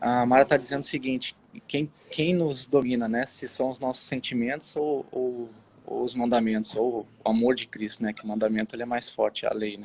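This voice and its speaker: A man's medium-pitched voice at a moderate pace, fairly even in intonation, with big swings in loudness. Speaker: online Bible show host. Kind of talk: casual Bible discussion livestream. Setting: outdoors on the street, live video. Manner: hesitant, many fillers.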